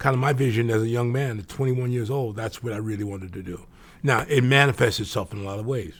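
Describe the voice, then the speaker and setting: Talking at a very fast pace, a man has a medium pitch and a somewhat breathy voice. His pitch varies in an ordinary way. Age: 70s. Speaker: business executive. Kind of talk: interview. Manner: halting.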